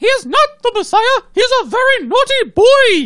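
The speaker puts on a character voice. It is pitched extremely high. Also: moderate pace. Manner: emphatic.

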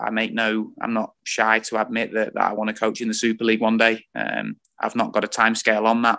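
A man with an East Midlands accent talks at a fairly quick pace in a medium pitch, his tone bright and sharp against a quiet background. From Lincolnshire, England. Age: 20s. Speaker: football coach. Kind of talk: interview.

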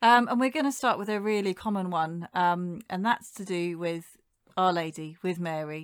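A woman with a British accent and a fairly low voice speaks at a moderate pace with ordinary pitch variation on a very clean recording with a silent background. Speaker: podcast co-host.

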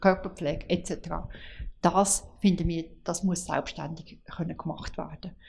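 The woman's voice is fairly low in pitch and somewhat breathy. She speaks at a fairly slow pace. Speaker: home care association director. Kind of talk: interview. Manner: halting.

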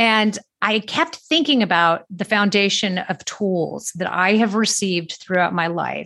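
A woman's bright, sharp tone with an American accent and lively intonation. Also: medium pitch for a woman, fairly slow pace, hardly any pauses. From US, Southern California. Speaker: wellness podcast host. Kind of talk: solo podcast monologue. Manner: casual, conversational with fillers.

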